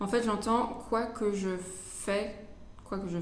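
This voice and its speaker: Noticeable background noise and an audible room echo surround the recording. A woman speaks in a monotone, flat intonation. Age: 20s. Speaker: tarot reader. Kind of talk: tarot reading. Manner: hesitant.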